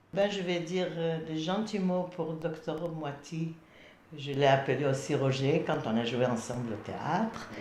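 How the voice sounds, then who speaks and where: Noticeable background noise is present throughout. The speech moves at a fairly slow pace. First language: not French (speaking French). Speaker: amateur theatre actor. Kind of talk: memorial testimony.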